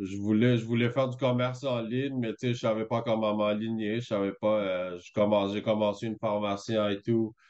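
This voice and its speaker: A man's medium-pitched voice, moderate in pace, with fairly even intonation. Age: 40s. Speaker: small business owner, coaching client. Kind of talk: testimony. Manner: halting, many fillers.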